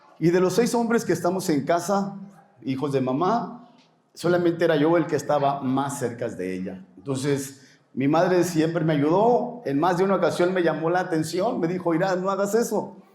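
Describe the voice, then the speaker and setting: A man with a high voice speaks at a moderate pace with ordinary pitch variation. Audible room echo and noticeable background noise surround the recording. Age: 60s. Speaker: pastor. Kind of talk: interview.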